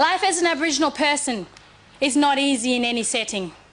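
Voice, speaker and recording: A woman's high-pitched voice, fairly quick and lively in intonation, over noticeable background noise. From Cape York, Queensland, Australia. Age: 20s. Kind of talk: formal speech.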